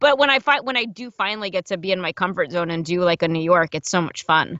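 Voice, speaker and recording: A woman's very fast, medium-pitched speech with lively intonation and a slight New Jersey accent. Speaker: audiobook narrator and voice actor. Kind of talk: casual interview chat. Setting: podcast interview.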